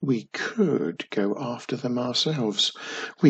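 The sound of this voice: The clip offers an unforced reading voice. It is simply read aloud this way.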